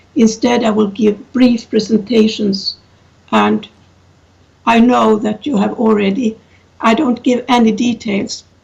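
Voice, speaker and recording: Taking long, frequent pauses, a woman with a non-native accent speaks at a fairly high pitch. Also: fairly even intonation. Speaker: professor. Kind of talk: conference talk. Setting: video call. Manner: halting.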